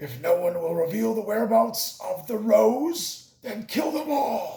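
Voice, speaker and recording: Putting on a character voice, a man speaks raspy and fairly slow at a high pitch, with a slight echo. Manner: menacing, commanding.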